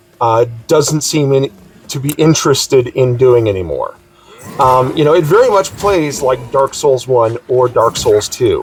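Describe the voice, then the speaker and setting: Over music in the background, a man talks at a fairly slow pace in a fairly high pitch, with ordinary pitch variation. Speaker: gaming YouTuber. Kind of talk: casual video blog. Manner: loud; halting with many fillers.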